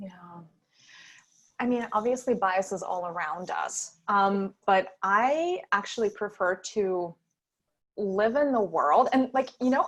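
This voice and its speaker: At a very slow pace with long, frequent pauses, a woman in a Russian accent speaks at a medium pitch with lively intonation. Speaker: startup founder. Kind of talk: panel interview. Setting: online virtual event.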